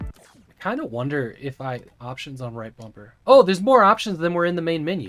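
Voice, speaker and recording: With music in the background, a man with an American accent talks at a fairly quick pace in a fairly high voice, his pitch swinging very widely and his loudness rising and falling a lot. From United States. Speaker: video game streamer. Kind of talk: live gameplay commentary. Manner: casual, filler-heavy.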